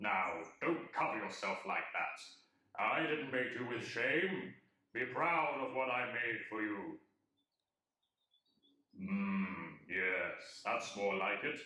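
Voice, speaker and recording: Using a put-on character voice at a medium pitch, a man speaks at a very slow pace with long, frequent pauses and slight echo. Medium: audio drama. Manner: playful, self-satisfied, deadpan.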